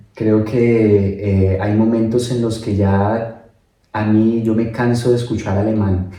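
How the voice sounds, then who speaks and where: A man at a very slow pace and fairly low pitch, dark and mellow in tone, with monotone, flat intonation and audible room echo. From Colombia, Bogotá. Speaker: migrant interviewee. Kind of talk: casual interview.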